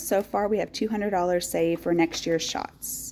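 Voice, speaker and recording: In an East Texas accent, a woman with a fairly low pitch speaks at a moderate pace in an upbeat tone that is dark and mellow. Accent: East Texas Southern American. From rural East Texas. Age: 40s. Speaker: teacher. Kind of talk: casual talk to camera. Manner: upbeat, chatty.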